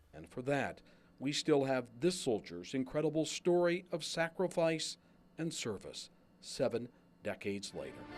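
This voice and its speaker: Over background music, a man speaks with lively intonation and big swings in loudness. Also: moderate pace. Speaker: TV news reporter. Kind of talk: TV news feature narration.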